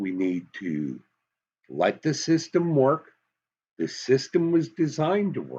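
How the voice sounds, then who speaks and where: The speaker talks at a fairly slow pace in a Southern US accent. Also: man. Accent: Southern US, slips into it. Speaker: political commentator. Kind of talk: commentary monologue. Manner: animated.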